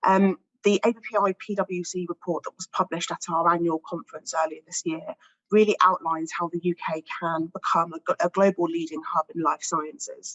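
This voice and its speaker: With a British accent, a woman of fairly low pitch talks at a fairly quick pace with fairly even intonation. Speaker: pharmaceutical industry research director. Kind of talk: panel discussion statement.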